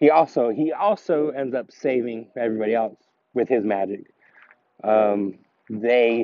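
Recorded with a dry sound and no echo, a man speaks with ordinary pitch variation. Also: fairly slow pace. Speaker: vlogger. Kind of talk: casual vlog chat, movie review. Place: street. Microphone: phone near.

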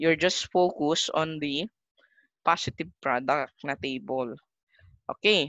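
Against a quiet background with a dry sound and no echo, a woman with a very deep, low pitch speaks at a very slow pace with long, frequent pauses. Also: ordinary pitch variation. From Philippines. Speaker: math teacher. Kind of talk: casual chat; lecture. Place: home room. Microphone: webcam.

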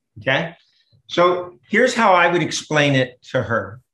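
A man at a very slow pace, with ordinary pitch variation and audible room echo. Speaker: remote interview guest. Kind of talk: interview answer. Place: home room. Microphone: webcam.

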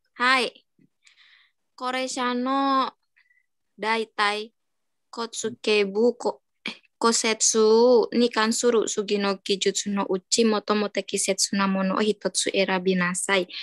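Fairly even intonation at a fairly slow pace, with a dry sound, no echo, and a quiet background. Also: woman, fairly high pitch for a woman. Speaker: caregiver trainee; teacher or study leader. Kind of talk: reading aloud; lecture. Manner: halting. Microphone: video call.

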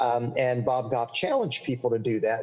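A man speaks at a medium pitch with ordinary pitch variation and a slight Southern accent. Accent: slight Southern, milder than local drawl. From US South, central Florida. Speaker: pastor and author. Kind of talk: interview. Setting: video call. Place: home room. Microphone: video call.

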